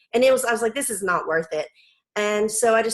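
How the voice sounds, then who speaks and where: A woman in a Southern US accent. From US South. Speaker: homeschool mom and blogger. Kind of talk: casual interview.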